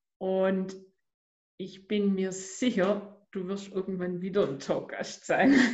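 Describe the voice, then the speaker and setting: A somewhat breathy woman's voice in a Swabian accent, medium in pitch and fairly even in intonation, very slow, with audible room echo. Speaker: podcast host and life coach. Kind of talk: interview.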